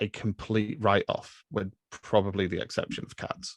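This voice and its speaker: With an English accent, a man speaks at a moderate pace in a fairly low pitch, the sound dry and close with no echo. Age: 30s. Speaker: film podcaster. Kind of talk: casual chat. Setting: podcast recording.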